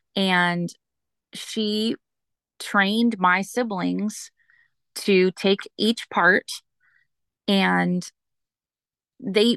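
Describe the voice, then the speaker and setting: Recorded dry and close with no echo against a quiet background, a woman speaks at a medium pitch in a bright, sharp tone. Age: 40s. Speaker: single mother sharing faith story. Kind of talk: testimony.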